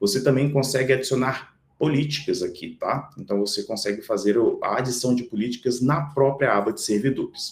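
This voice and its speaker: Hardly any pauses break up this speech, which keeps a moderate pace. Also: man. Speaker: software product demonstrator. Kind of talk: webinar product demo.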